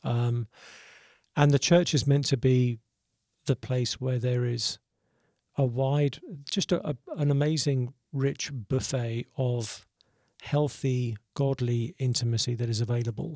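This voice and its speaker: In a very clean recording with a silent background and a dry, close sound with no echo, a man speaks fairly slowly at a medium pitch, his somewhat breathy voice dark and mellow in tone, his intonation fairly even, and his speech broken by long, frequent pauses. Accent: southern English. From Southeast England. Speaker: pastor and author. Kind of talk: casual interview.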